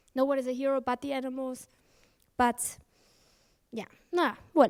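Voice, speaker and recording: Her voice high and her intonation monotone and flat, a woman talks at a fairly quick pace in a dry, close sound with no echo. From England. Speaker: animal rights activist. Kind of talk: conference talk.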